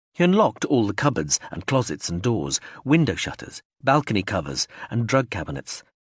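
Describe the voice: Someone does plain reading aloud here.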